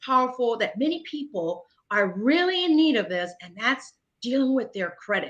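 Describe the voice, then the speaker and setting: Raised and projected, a woman's high-pitched voice carries a bright, sharp tone at a moderate pace. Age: 50s. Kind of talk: interview. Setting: online livestream.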